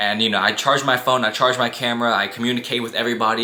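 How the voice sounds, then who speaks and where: A man talks at a very fast pace in a monotone, flat intonation over noticeable background noise. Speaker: YouTuber. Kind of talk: storytime monologue. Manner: monotone at times; casual, conversational.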